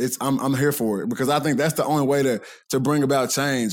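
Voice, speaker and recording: Very fast speech with ordinary pitch variation. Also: man. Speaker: college football player. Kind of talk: casual chat. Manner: loud.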